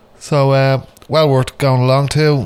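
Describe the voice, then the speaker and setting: There is noticeable background noise as a man talks in a relaxed tone. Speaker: radio host. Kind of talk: radio DJ patter introducing metal tracks. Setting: radio studio broadcast. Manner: casual, rambling, filled with ums and uhs; relaxed, chatty.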